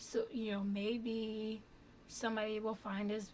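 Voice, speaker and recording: Fairly high in pitch, a woman talks in an ordinary speaking voice with fairly even intonation. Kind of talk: casual vlog talk.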